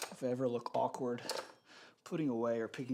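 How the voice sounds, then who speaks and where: A man of medium pitch talks at a fairly quick pace. Noticeable background noise can be heard. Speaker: fitness streamer. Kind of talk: live workout stream. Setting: home gym, live stream. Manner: louder than usual, near normal volume; casual, chatty.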